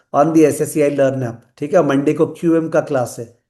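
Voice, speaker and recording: Amid audible room echo, a man with a fairly high pitch and a dark, mellow tone speaks at a moderate pace. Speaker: finance teacher. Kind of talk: lecture. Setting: live online class.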